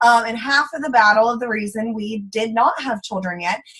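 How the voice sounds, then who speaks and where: A woman with a strong Texan accent speaks at a fairly high pitch. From Central Texas. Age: 20s. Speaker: former teacher, network marketing distributor. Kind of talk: testimony. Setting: online group call. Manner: animated.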